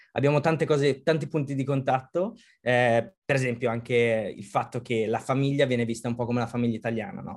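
A man with a plain, everyday voice talks fairly quickly, his pitch sitting in the medium range. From Italy. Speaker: design manager. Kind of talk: interview.

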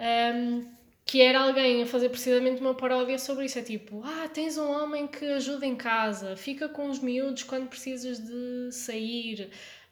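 A high-pitched woman talks at a moderate pace with hardly any pauses, her loudness swinging widely. Audible room echo and noticeable background noise surround her voice. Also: fairly even intonation. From born in France (Lyon), Portuguese podcast. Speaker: podcast host. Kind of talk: casual chat.

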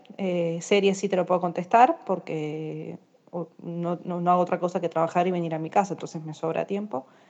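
With an Argentine accent, a woman talks at a moderate pace in a fairly low pitch, her tone dark and mellow and her intonation fairly even. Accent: Argentine Spanish (rioplatense voseo). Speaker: courier company office worker. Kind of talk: recorded voice message, casual.

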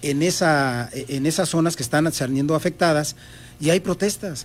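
At a fairly slow pace, a man with a fairly high pitch speaks with ordinary pitch variation in a very clean recording with a silent background. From Mexico City. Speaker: political candidate. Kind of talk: interview. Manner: halting.

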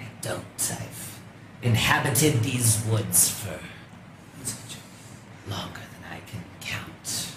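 Using a put-on character voice, a man talks at a very slow pace with long, frequent pauses and a medium pitch. Hissing and clear background noise run under the recording. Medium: actual play. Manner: terse, guarded.

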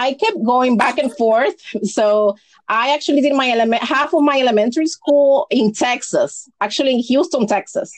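A woman speaks at a moderate pace in a high voice, with ordinary pitch variation and very even loudness. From Dominican Republic. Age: 30s. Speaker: personal finance educator. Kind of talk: podcast interview.

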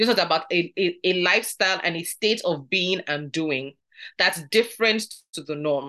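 This woman has a fairly low pitch and a bright, sharp tone, speaking at a moderate pace. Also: ordinary pitch variation. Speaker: Bible study teacher. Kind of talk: Bible study teaching. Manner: lowered, softer tone.

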